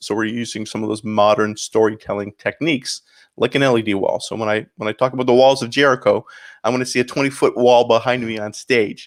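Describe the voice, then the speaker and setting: A man at medium pitch, very fast and monotone with flat intonation, in a dry, close sound with no echo. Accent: slight Canadian. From Canada, St. Catharines, Ontario. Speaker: pastor. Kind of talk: interview.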